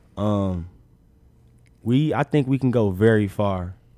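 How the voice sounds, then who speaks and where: In a dark, mellow tone, a man with a fairly low pitch speaks at a fairly slow pace with lively intonation. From Chicago. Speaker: college basketball player. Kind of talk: casual interview.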